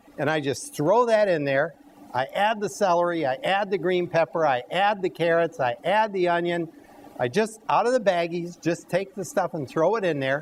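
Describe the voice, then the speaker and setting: Talking with lively intonation at a moderate pace, a high-pitched man is heard against noticeable background noise. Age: 60s. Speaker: cooking show host. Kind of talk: live cooking demonstration. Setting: health center dining room with audience.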